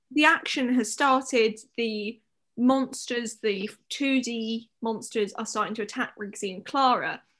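A woman with an unremarkable speaking voice talks at a fairly slow pace in a fairly high pitch, with ordinary pitch variation and big swings in loudness. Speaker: podcast host. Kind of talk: casual chat. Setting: late night recording. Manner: joking, playful.

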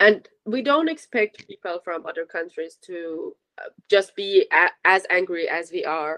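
A woman with a Persian accent speaks at a fairly slow pace in a medium pitch, her tone bright and sharp. Her intonation is lively, and the sound is dry and close with no echo. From Iran. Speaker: university student. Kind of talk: interview.

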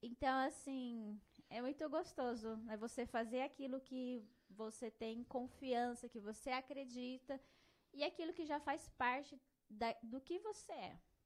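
The delivery is fairly slow, and the pitch varies in an ordinary way. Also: woman, high pitch for a woman. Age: 30s. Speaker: psychologist. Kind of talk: casual chat.

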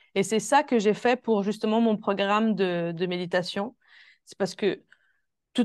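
A woman's medium-pitched voice at a moderate pace, with ordinary pitch variation, a dry, close sound with no echo and a quiet background. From Switzerland. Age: 20s. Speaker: holistic coach. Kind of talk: interview. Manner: soft-spoken.

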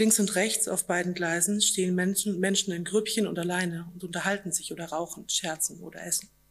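A woman at a medium pitch, monotone and flat in intonation, at a fairly quick pace with hardly any pauses. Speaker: author. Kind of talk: reading aloud. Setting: stage with audience.

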